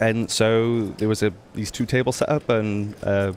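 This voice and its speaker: Speaking in a British accent, a man uses a medium pitch. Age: 20s. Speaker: poker journalist. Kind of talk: interview. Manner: hesitant, many fillers.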